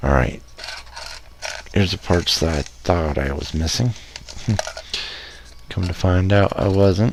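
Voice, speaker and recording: Whispering at a fairly slow pace, a man is heard against noticeable background noise. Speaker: hobbyist video maker. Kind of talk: casual build tutorial. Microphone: no echo this time, sounding decent.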